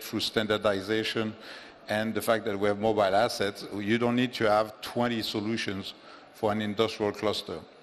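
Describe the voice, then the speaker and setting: The man's voice sits fairly low in pitch. He speaks in a monotone, flat way. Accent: French. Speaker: offshore wind executive. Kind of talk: conference panel discussion. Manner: halting, many fillers and repetitions.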